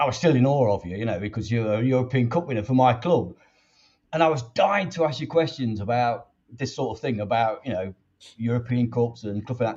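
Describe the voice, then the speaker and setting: Over a quiet background, a man talks fairly quickly at medium pitch, somewhat breathy, with ordinary pitch variation. His loudness swings a lot. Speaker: fan channel host. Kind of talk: interview. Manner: rambling.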